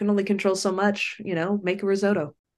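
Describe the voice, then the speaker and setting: A woman at a very fast pace. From Sacramento, California. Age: 40s. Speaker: communications and crisis professional. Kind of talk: casual interview chat.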